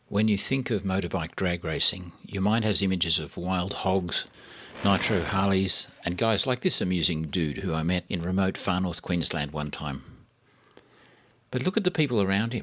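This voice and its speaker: Speaking with an Australian accent, a man has a very deep, low pitch and a bright, sharp tone. He keeps a moderate pace with ordinary pitch variation. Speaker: car reviewer, channel host. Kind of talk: video introduction narration.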